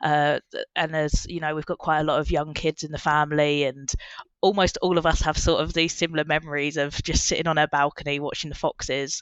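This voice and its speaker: A woman's very deep, low voice with an Essex accent, monotone and flat, at a fairly quick pace. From Essex, England. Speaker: marine biologist. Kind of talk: casual chat. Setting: in-person podcast recording.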